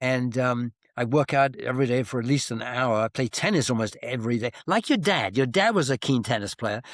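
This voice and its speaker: Hardly pausing, a man with a British accent talks at a fairly quick pace in a medium pitch with ordinary pitch variation, on a very clean, dry, close recording with a silent background and no echo. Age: 70s. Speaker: author and retired professor. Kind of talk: interview.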